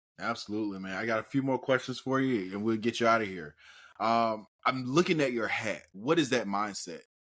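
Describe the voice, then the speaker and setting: A man with a normal speaking voice talks at a fairly quick pace. His medium pitch shows ordinary pitch variation. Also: very clean recording, silent background. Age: 30s. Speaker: podcast host. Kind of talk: podcast interview.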